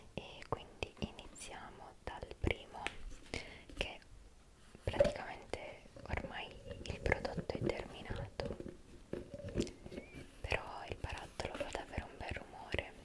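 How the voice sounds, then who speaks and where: A soft-spoken woman's whispering at a very slow pace, broken by long, frequent pauses. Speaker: ASMR creator. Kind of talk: soft ASMR product talk. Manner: soft ASMR whisper close to mic. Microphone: studio mic.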